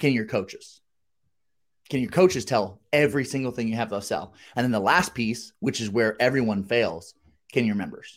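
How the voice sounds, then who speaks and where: A man talks with a normal speaking voice at a medium pitch and lively intonation. The recording is very clean, with a silent background. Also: moderate pace. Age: 30s. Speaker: gym business podcast co-host. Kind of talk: casual chat.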